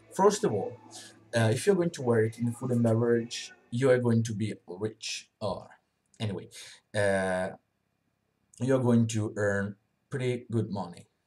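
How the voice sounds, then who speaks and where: A man with a non-native accent speaks fairly slowly with long, frequent pauses, his medium pitch showing ordinary variation. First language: not English. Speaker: vlogger reviewing a work program. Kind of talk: unscripted video review. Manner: halting, many fillers.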